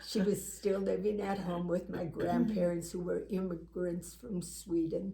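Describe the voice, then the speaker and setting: A woman talks at a fairly slow pace with hardly any pauses, over noticeable background noise and audible room echo. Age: 80s+. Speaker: talk show co-host. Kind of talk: personal testimony in casual chat.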